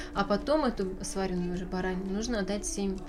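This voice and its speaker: Speaking fairly quickly, a woman uses a medium pitch with ordinary pitch variation. Room echo is audible, and background noise is noticeable. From Novosibirsk, Russia. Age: 20s. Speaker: journalism student. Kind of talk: casual interview.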